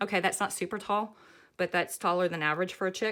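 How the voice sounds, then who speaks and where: A woman's bright, sharp voice at medium pitch, with a Southern US accent and flat, monotone intonation. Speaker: craft pattern designer. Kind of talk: tutorial. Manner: casual, chatty.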